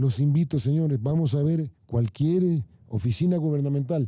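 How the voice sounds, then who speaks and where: A man's somewhat breathy, fairly high-pitched voice with a dark, mellow tone and lively intonation. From Ecuador, Guayaquil (coast). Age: 60s. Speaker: government official. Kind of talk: panel debate. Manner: animated.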